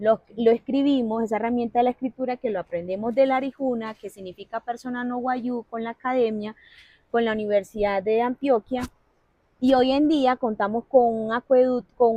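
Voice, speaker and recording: Speaking in a La Guajira accent, a woman uses a fairly high pitch and fairly even intonation. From La Guajira, Colombia (Wayuu territory). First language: Wayuunaiki (speaking Spanish). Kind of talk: interview conversation.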